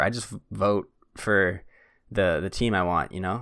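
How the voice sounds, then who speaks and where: A man's voice, very clean recording, silent background. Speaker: podcast host. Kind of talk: casual chat. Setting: studio. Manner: fast.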